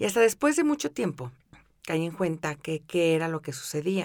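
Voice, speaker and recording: A woman with a Mexican accent speaks at a fairly low pitch with lively intonation. The recording is very clean, with a silent background. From Mexico City. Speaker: podcast host, wellbeing coach. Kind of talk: guided meditation; podcast monologue.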